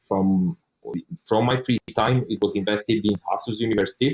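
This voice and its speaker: A man speaks with a Romanian accent at a fairly quick pace. His intonation is fairly even. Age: 20s. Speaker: online course student. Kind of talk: interview testimony.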